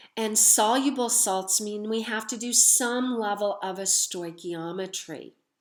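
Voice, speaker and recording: A woman speaks in an ordinary speaking voice at medium pitch and a fairly slow pace, with ordinary pitch variation over a quiet background. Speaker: chemistry teacher. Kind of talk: lecture. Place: home room. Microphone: webcam.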